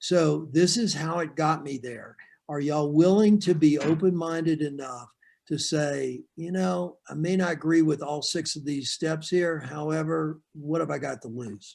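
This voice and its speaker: In a normal speaking voice, a man with a fairly high pitch and ordinary pitch variation talks at a fairly slow pace, his loudness swinging widely. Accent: American. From Florida. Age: 60s. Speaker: real estate sales coach. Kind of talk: training webinar.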